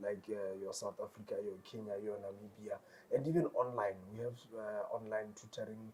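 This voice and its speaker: With a Botswana accent, a man speaks at a moderate pace. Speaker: tutoring company founder. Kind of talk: interview. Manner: repetitive stammering fillers.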